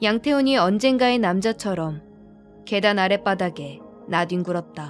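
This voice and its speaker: A woman's medium-pitched voice at a fairly slow pace, lively in intonation, with music in the background. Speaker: audiobook narrator, actress. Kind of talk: audiobook narration of a thriller novel, bedtime listening. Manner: soft, ASMR-style.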